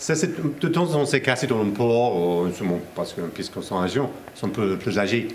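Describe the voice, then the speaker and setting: A man's medium-pitched voice in an English accent, with noticeable background noise and audible room echo. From England. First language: English (speaking French). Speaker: company representative. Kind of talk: interview. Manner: halting, many hesitations.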